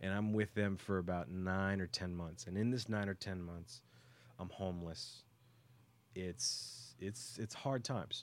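Fairly low in pitch with ordinary pitch variation, a man uses a normal speaking voice at a fairly slow pace in a very clean recording with a silent background. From US, raised in Texas. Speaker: music producer. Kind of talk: casual interview. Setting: hotel, live radio.

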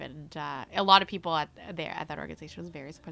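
Very fast and bright, sharp in tone, a woman speaks with a Canadian accent. Her voice carries vocal fry. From Mississauga, Ontario, Canada. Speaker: sports in-game host. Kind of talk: casual chat. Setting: studio. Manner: animated.

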